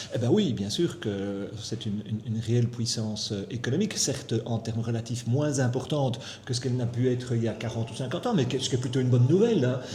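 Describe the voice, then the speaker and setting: A man talks at a very fast pace with hardly any pauses, his pitch medium and its variation ordinary. There is audible room echo and noticeable background noise. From Belgium, Brussels. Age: 60s. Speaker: economist. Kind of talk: interview.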